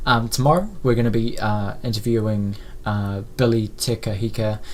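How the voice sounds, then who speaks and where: A man with a New Zealand accent, medium pitch, fairly even intonation, and a moderate pace, with audible room echo. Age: 20s. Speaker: media company founder. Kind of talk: live stream talk. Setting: live stream at home with blurred background. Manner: halting, many fillers.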